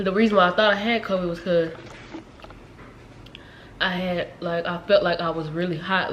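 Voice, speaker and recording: Against noticeable background noise, a woman with a fairly low voice talks at a moderate pace. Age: 20s. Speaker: lifestyle vlogger. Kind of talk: casual talk to camera.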